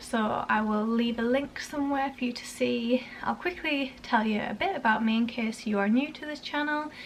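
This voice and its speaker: Pitched high, a woman talks at a moderate pace with ordinary pitch variation and hardly any pauses. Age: 20s. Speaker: parenting vlogger. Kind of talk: casual vlog talk. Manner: casual, halting with fillers.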